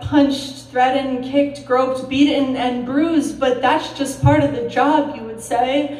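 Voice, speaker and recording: A high-pitched woman's voice at a fairly slow pace, monotone and flat in intonation, over noticeable background noise. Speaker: registered nurse. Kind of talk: slam poetry performance.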